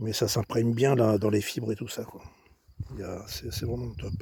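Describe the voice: Putting on a hoarse character voice, a man speaks at a moderate pace and medium pitch.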